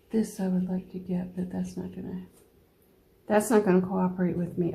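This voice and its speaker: A woman mumbles in a dark, mellow tone. Her voice is somewhat breathy and relaxed. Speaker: watercolor painting teacher. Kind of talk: painting tutorial. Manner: mumbling; relaxed, thinking aloud.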